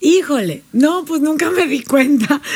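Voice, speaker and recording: A woman's pitch swings very widely as she speaks. Noticeable background noise runs behind her. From Panama. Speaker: life and business coach. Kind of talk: storytelling; casual interview.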